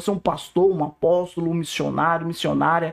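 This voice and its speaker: A man talks at a moderate pace. His tone is animated. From Northeast Brazil. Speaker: pastor. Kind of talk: testimony.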